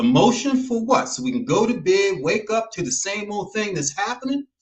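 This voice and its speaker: At a moderate pace, a man with an American accent speaks in a high pitch. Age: 60s. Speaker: TV show host. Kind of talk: commentary monologue. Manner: emphatic.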